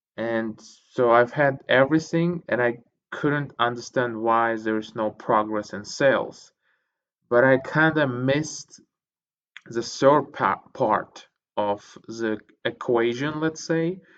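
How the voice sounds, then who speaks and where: This man has a non-native accent and a medium pitch with ordinary pitch variation. He talks at a very slow pace, with long, frequent pauses. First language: not English. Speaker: podcast host reading books. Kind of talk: casual monologue. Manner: hesitant, many fillers.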